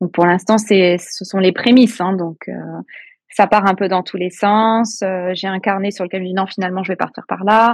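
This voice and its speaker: Monotone, flat intonation marks a woman's medium-pitched speech. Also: moderate pace. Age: 40s. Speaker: novelist and kindergarten teacher. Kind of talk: interview.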